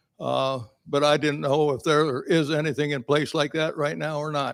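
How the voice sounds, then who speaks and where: Recorded very cleanly with a silent background, a man speaks at a moderate pace in a fairly high pitch with fairly even intonation. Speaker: resident asking a question. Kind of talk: audience question at meeting. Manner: loud.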